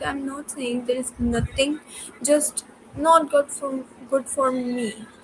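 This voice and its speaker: Spoken at a very slow pace in a non-native accent, the delivery is monotone and flat, with noticeable background noise. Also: woman. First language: not English. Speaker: student. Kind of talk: casual chat. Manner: halting, many fillers.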